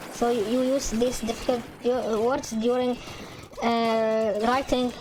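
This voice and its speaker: Music plays in the background as a woman with a slight Arabic accent speaks very slowly. Her high voice stays in a monotone, flat intonation. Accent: slight Arabic accent, improved. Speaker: gaming video creator. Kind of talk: casual chat. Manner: halting, many repeated words and fillers.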